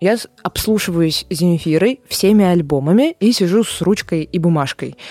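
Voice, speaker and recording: Dry and close with no echo, the sound carries a woman's voice at medium pitch. Her tone is dark and mellow, and her intonation is lively. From Saint Petersburg, Russia. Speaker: musicologist and music lecturer. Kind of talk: casual interview. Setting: studio.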